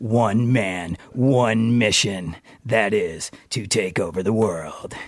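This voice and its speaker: Using a put-on character voice at a medium pitch, a man talks at a very slow pace. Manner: dramatic trailer narration.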